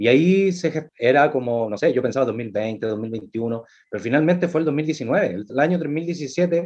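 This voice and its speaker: His intonation is lively. The man talks in a Chilean accent. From Chile, Valparaíso. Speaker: actor and playwright. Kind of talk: casual chat. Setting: video call.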